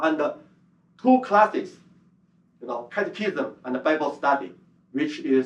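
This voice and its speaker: A man with a Chinese accent speaks with long, frequent pauses. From China. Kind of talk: conference presentation. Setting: conference hall with audience. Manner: halting, many fillers.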